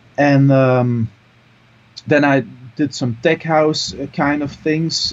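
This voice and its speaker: Noticeable background noise behind a man speaking at a very slow pace with fairly even intonation. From Belgium, Mol (Antwerp province). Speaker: DJ and music producer. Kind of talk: interview. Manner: halting, many fillers.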